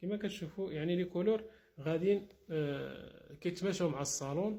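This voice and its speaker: Moderately paced, this man's voice is high-pitched with a dark, mellow tone and ordinary pitch variation. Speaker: interior decoration contractor. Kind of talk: walkthrough tutorial showing finished work. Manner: casual, with frequent fillers and restarts.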